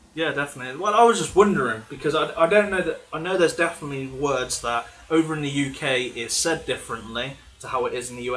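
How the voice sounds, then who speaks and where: Over noticeable background noise, a man talks at a very fast pace. He has an English accent and ordinary pitch variation. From England. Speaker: gaming channel host. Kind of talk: live stream Q&A chat.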